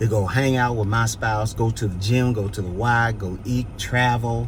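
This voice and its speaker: With audible room echo, a man speaks in an animated tone at a fairly slow pace. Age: 60s. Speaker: pastor and vlogger. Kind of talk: casual vlog chat with advice. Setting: outdoors on a city street. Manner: animated, preachy.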